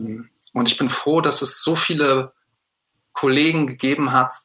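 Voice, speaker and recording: A man's voice has a bright, sharp tone and fairly even intonation. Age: 30s. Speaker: secondary school teacher. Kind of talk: interview. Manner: hesitant, with fillers.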